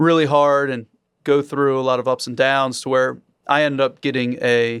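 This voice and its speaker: In a very clean recording with a silent background, a man with an American accent speaks at a moderate pace in a medium pitch, his intonation flat and monotone. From Maryland, US. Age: 30s. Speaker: real estate investor. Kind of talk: podcast interview.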